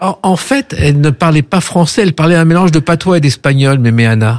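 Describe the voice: Talking at a fairly quick pace, a man uses a fairly high pitch with ordinary pitch variation.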